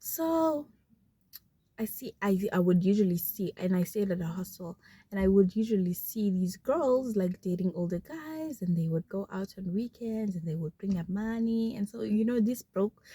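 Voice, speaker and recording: A woman with a dark, mellow, somewhat breathy tone speaks at medium pitch and a moderate pace, her intonation lively, in a dry, close recording with no echo. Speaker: vlogger. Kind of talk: casual chat.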